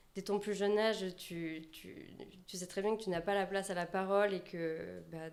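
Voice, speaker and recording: A woman's medium-pitched voice in a Landes accent, at a moderate pace. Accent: sing-song Landes. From southwest France, Landes. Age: 20s. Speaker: personal branding consultant. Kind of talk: podcast interview. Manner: halting, many fillers.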